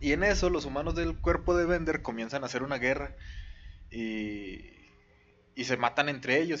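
With a Mexican accent and vocal fry, a man speaks at a moderate pace and fairly high pitch, his intonation lively. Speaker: podcast co-host. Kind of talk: casual chat.

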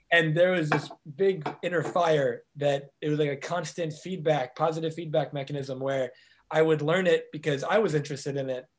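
A man has a plain, everyday voice with a fairly high pitch. His pace is moderate and his intonation fairly even. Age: 30s. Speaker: life coach. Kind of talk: interview.

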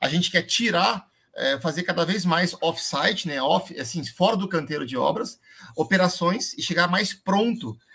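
A man's high-pitched voice with a bright, sharp tone at a moderate pace. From Londrina, northern Paraná, Brazil. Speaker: construction company owner. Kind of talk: live stream interview.

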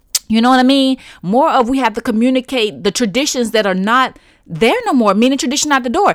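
Noticeable background noise sits behind this woman's high-pitched voice. She speaks at a fairly quick pace. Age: 30s. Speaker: podcast host. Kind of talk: casual monologue.

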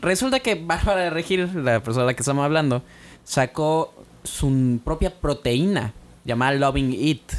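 Using an ordinary speaking voice, a man talks at a moderate pace with fairly high pitch and ordinary pitch variation. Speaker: podcast co-host. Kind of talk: casual chat.

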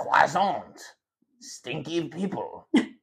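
A man does a put-on character voice in a French accent. His voice is raspy and high-pitched. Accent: exaggerated French. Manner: joking, mocking.

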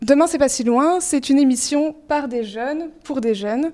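At a moderate pace, a woman speaks in a dark, mellow tone with a high pitch and ordinary pitch variation. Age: 20s. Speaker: youth show co-presenter. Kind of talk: scripted narration.

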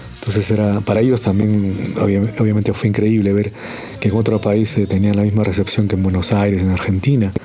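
Music plays in the background as a man talks at a fairly quick pace. His fairly low voice stays monotone and flat. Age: 40s. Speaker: musician and communicator. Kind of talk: anecdote telling.

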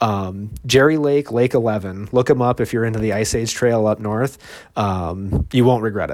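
In a very clean recording with a silent background, a man uses a normal speaking voice at medium pitch, with ordinary pitch variation and a moderate pace. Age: 40s. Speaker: marathon runner and author. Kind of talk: interview.

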